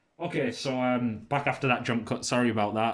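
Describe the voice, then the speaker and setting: Here a man speaks with a British accent. His pace is fairly quick. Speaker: tech reviewer. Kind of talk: casual product review. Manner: hesitant, many fillers.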